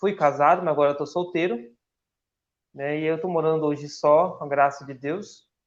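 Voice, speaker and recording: Over a quiet background, the speech moves at a moderate pace. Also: man. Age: 30s. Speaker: church volunteer and upholstery worker. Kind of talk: radio interview.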